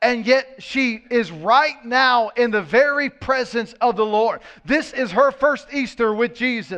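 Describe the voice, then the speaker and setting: A man at an extremely high pitch, talking fairly slowly with hardly any pauses and ordinary pitch variation, against noticeable background noise. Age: 30s. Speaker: pastor. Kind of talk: sermon.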